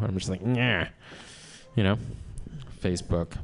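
Recorded with a dry, close sound and no echo, a man with an ordinary speaking voice talks at a fairly quick pace with ordinary pitch variation. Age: 40s. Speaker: stand-up comedian. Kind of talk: stand-up.

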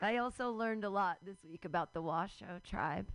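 A woman speaks at a fairly quick pace with a medium pitch. Her voice has vocal fry and ordinary pitch variation. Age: 40s. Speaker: comedy open mic host. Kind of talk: stand-up. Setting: stage with audience.

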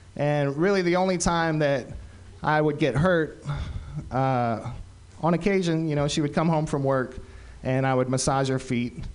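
A man's voice with audible echo from the room. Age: 40s. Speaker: comedian. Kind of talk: stand-up. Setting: stage with audience.

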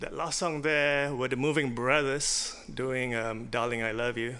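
Pitched at a medium level, a man speaks with a slight Singaporean accent. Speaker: guest DJ. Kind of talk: casual chat. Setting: studio.

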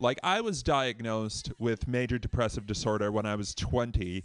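Speaking at a fairly slow pace, a man uses a normal speaking voice at medium pitch, with an American accent, over a quiet background. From Boston. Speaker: comedian. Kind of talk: stand-up.

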